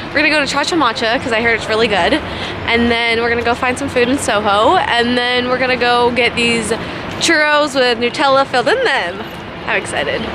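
Over noticeable background noise, a woman talks fairly quickly in a high voice, the sound dry with no echo. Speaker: vlogger. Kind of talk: casual vlog chat. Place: waterside. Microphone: phone near.

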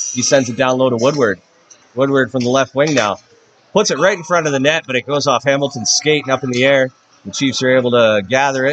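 Very fast and animated, a man keeps his loudness very even over light background noise. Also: ordinary pitch variation. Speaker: hockey play-by-play announcer. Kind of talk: live hockey play-by-play commentary. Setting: arena, broadcasting a game to a stream. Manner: rapid-fire, animated, calling the action as it happens; upbeat, friendly broadcaster tone. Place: stadium.

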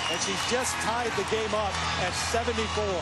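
Loud background noise with a dry sound and no echo. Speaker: play-by-play basketball announcer. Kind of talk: sports commentary. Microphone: headset.

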